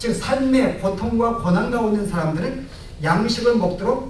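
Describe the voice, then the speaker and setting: A man talks with ordinary pitch variation. The room echo is audible, and there is noticeable background noise. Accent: Gyeongsang. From Gyeongsang province, Korea. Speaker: pastor. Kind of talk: sermon.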